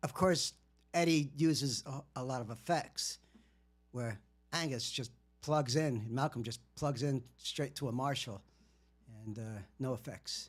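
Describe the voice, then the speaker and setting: Over a very clean recording with a silent background, a man speaks somewhat breathily with ordinary pitch variation and long, frequent pauses. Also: fairly slow pace. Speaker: musician livestreamer. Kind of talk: casual livestream monologue. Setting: livestream. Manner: halting, many fillers.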